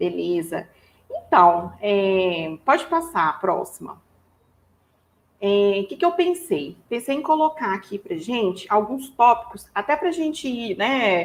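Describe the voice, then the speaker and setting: This woman talks at a fairly slow pace in a Minas Gerais accent. Her pitch swings very widely. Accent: Minas Gerais (mineiro). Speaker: HR professional and psychologist. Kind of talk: webinar presentation. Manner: casual, filler-heavy.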